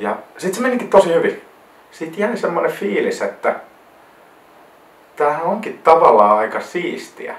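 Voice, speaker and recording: Amid noticeable background noise, a man with a South Karelian accent speaks at a fairly slow pace with long, frequent pauses. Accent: South Karelian Finnish dialect. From South Karelia, Finland (near Lappeenranta). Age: 20s. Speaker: wedding photographer, vlogger. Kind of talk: casual vlog monologue. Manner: hesitant, repeats words.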